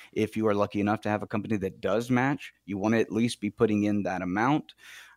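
Recorded with a dry, close sound, no echo and a silent background on a very clean recording, a man with an unremarkable speaking voice talks at a fairly quick pace in a fairly low pitch. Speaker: financial advisor. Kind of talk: financial advice radio discussion. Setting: studio.

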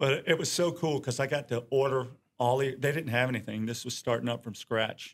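In an American accent, an ordinary speaking voice moves at a fairly quick pace with fairly even intonation. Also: man, medium pitch for a man. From Norfolk, Virginia. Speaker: photographer. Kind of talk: casual interview chat.

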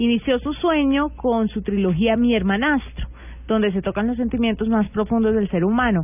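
In a Colombian accent, a woman speaks at a moderate pace and fairly high pitch, with very even loudness and ordinary pitch variation. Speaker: radio host. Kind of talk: casual chat. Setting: studio.

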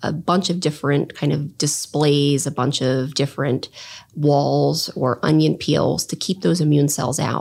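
In a very clean recording with a silent background, a woman with an American accent speaks at a moderate pace, her voice very deep and low with vocal fry. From southern New Jersey, near Philadelphia. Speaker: oncologist and cancer researcher. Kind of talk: interview.

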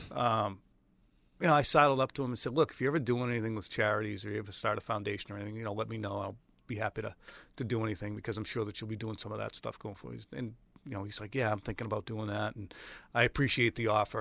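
Speaking at a very fast pace, a man with a fairly low pitch and a bright, sharp tone keeps his intonation fairly even on a very clean recording with a silent background. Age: 40s. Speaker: sports media personality. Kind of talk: casual chat.

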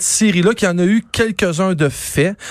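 A man speaks at a high pitch with ordinary pitch variation. The recording is very clean, with a silent background and dry, close sound with no echo. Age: 40s. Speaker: quiz panelist. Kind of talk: casual quiz show banter.

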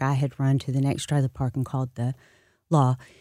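In a very deep, low pitch for a woman, a woman with a Southern US accent speaks at a moderate pace in a dark, mellow tone on a very clean recording with a silent background. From US South, moved widely (Memphis, Dallas, California to Florida). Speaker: state senator and political candidate. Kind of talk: radio interview. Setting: studio.

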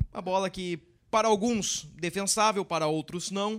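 At a moderate pace, a man speaks in a high pitch with ordinary pitch variation, in a very clean recording with a silent background. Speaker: sports reporter and podcast host. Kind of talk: football podcast discussion. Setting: studio.

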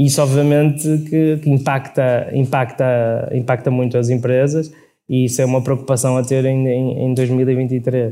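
Dark, mellow tone from a man at medium pitch, fairly slow, monotone and flat, with very even loudness. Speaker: logistics company CEO. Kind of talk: live interview. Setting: stage with audience. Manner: halting, many repetitions.

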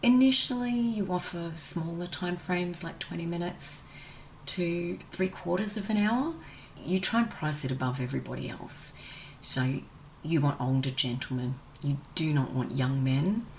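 Speaking with an Australian accent, a woman uses fairly low pitch, very wide pitch swings and a moderate pace. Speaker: former escort sharing life story. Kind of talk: personal testimony interview.

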